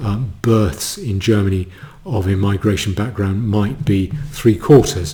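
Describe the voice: Reading aloud, plain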